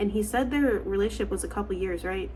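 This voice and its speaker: Audible room echo surrounds the woman's voice. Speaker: online storyteller reacting to posts. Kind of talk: casual commentary. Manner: halting, stuttering; conversational with fillers.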